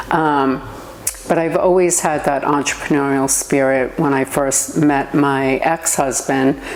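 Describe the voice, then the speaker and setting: A woman talks with a very deep, low pitch and fairly even intonation at a fairly slow pace. Her loudness stays very even over noticeable background noise. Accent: New York. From New York. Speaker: entrepreneur. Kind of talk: interview.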